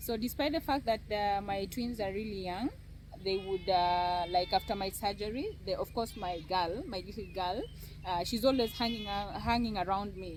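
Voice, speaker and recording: At a moderate pace, a woman uses a plain, everyday voice with a medium pitch and ordinary pitch variation. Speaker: cancer survivor and content creator. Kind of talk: personal testimony in an interview.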